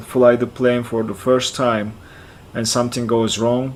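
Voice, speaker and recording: Speaking with a Turkish accent, a man holds a medium pitch in a monotone, flat intonation at a moderate pace. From central Turkey (Kayseri). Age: 40s. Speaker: flight sim streamer. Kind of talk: live stream chat. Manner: halting, repeats words.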